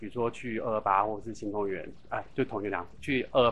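A man speaks at a moderate pace in a fairly low pitch. He has a plain, everyday voice. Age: 40s. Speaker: LGBT hotline organization secretary-general. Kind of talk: interview.

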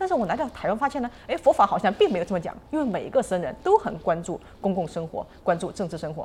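Pitch leaps very widely as the words come out at a fairly quick clip. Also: woman. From mainland China. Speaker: podcast host. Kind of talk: interview.

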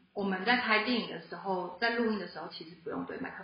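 With fairly even intonation, a woman speaks amid audible echo from the room. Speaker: film production graduate. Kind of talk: casual chat. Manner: low energy. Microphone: too far from the mic.

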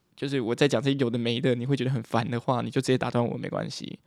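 Very fast and at medium pitch, a man speaks in a dry, close sound with no echo. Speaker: podcaster, university student. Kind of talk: casual monologue. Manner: animated.

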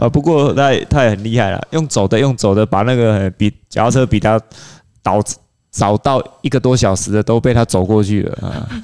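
A plain, everyday voice belongs to this man, who speaks at a moderate pace and medium pitch with ordinary pitch variation. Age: middle-aged. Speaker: triathlon coach. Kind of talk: casual chat.

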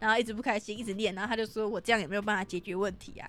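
A woman with a Taiwanese accent, fairly high-pitched, animated in tone and very fast. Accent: Taiwanese Mandarin. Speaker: podcast host. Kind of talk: casual chat. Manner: loud.

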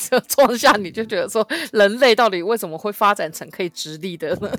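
A woman's normal speaking voice at medium pitch with lively intonation. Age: 30s. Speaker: podcast co-host. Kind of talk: casual chat.

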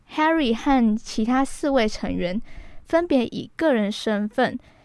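On a very clean recording with a silent background, a woman speaks very slowly in a high pitch with lively intonation. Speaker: radio host. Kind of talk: radio music show hosting. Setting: radio studio.

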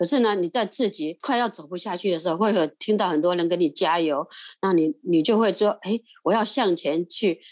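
In a plain, everyday voice, a woman talks at a medium pitch and moderate pace with ordinary pitch variation, the sound dry and close with no echo over a quiet background. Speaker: retired grandmother, volunteer. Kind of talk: interview storytelling. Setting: recording from home.

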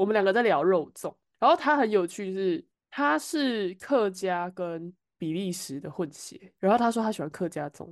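Against a quiet background, a woman's voice shows very wide pitch swings and big swings in loudness. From Taiwan. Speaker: podcast co-host. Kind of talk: casual chat.

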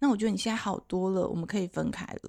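A woman's medium-pitched, somewhat breathy voice, dry and close with no echo. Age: 50s. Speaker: sex therapist and author. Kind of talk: casual chat. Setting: bookstore, face-to-face recording.

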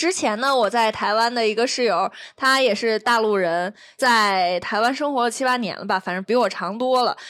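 In a very clean recording with a silent background, a woman speaks at a moderate pace and fairly high pitch, with ordinary pitch variation. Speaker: podcast host. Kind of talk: casual chat.

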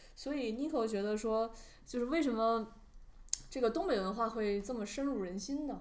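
In a room with audible echo, a woman speaks fairly quickly at a fairly high pitch, with ordinary pitch variation and long, frequent pauses. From Northeast China. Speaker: podcast co-host, PR worker. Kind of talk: casual chat.

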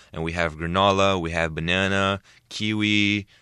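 With a Portuguese accent, a man speaks at a very deep, low pitch in a bright, sharp tone, his intonation fairly even against a quiet background. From Brazil. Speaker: entrepreneur and TV personality. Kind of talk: interview. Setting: studio.

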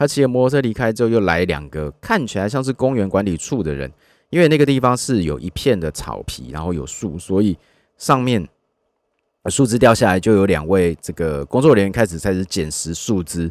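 A man talks at a fairly quick pace with a fairly low pitch and very wide pitch swings. The sound is dry and close, with no echo. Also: very clean recording, silent background. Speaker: podcast host and car content creator. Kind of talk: casual solo monologue. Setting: inside a parked car.

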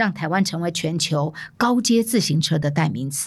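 On a very clean recording with a silent background, a woman with a fairly low, somewhat breathy voice speaks at a moderate pace with lively intonation. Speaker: podcast host, former media executive. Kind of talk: solo narrated storytelling podcast. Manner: animated.

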